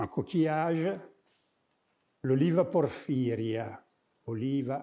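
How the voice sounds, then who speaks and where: This man's voice is medium in pitch with a dark, mellow tone. His intonation is lively. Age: 70s. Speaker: architect and artist, lecturer. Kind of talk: lecture. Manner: halting, with many hesitations.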